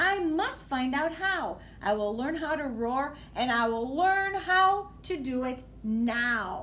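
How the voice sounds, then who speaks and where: A woman puts on a squeaky, high-pitched character voice with very wide pitch swings, going at a fairly slow pace with hardly any pauses, and audible echo around her. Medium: read story. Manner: timid, hesitant.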